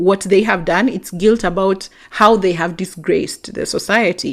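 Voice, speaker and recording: A medium-pitched woman with a Kenyan accent, a fairly slow pace and lively intonation, in a very clean recording with a silent background. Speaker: podcast host. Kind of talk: podcast monologue reading and answering listener messages.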